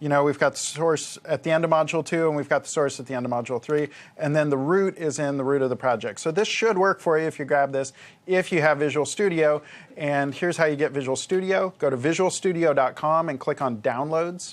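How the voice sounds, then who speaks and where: At a fairly quick pace, a man speaks in a fairly high voice with ordinary pitch variation. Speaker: software developer and course co-presenter. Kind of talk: technical tutorial, live Q&A. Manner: fast; casual, conversational.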